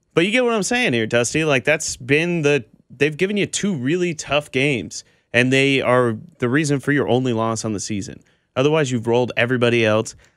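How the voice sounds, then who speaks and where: On a very clean recording with a silent background, a man with an American accent speaks in an ordinary speaking voice at medium pitch, fairly quickly, with ordinary pitch variation. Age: 20s. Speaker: sports radio co-host. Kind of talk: sports talk radio.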